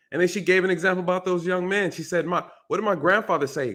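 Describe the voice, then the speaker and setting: A man speaks with an American accent in a high pitch. His pace is very fast. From New York. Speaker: retired police officer. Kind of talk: casual chat.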